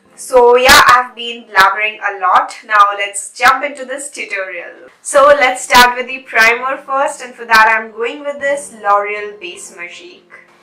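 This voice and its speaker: A woman with a high pitch speaks at a fairly slow pace, using lively intonation and hardly any pauses. Noticeable background noise runs underneath. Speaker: beauty vlogger. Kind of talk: makeup tutorial chat.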